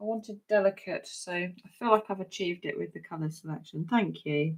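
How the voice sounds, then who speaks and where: This woman has a southern English accent and medium pitch. She speaks at a moderate pace. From southern England, Hampshire. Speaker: crafting demonstrator. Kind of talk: live craft tutorial. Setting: livestream from home craft desk. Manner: chatty, conversational.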